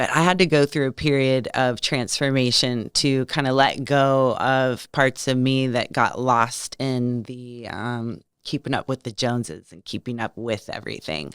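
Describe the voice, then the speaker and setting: With an American accent, a woman speaks at a moderate pace in a very deep, low voice with ordinary pitch variation and big swings in loudness, in a very clean recording with a silent background and a dry, close sound with no echo. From California. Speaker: lifestyle coach. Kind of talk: podcast interview. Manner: animated.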